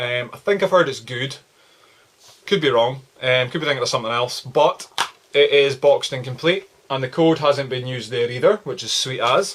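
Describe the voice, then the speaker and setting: Speaking with an Aberdeenshire accent, a man uses a medium pitch and ordinary pitch variation. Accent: Scottish (Aberdeenshire). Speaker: video game collector YouTuber. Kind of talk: casual vlog. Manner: fast; casual, filler-heavy.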